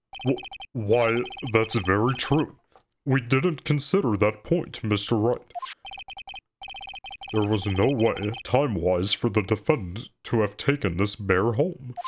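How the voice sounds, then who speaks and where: A put-on character voice at a fairly slow pace, with very even loudness and long, frequent pauses. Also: man, medium pitch for a man. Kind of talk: courtroom speech. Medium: game stream.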